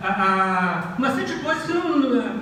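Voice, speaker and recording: The voice moves at a fairly slow pace with very wide pitch swings. Noticeable background noise and audible room echo fill the recording. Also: man. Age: 60s. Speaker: professor. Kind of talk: lecture. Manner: hesitant, many fillers and repetitions.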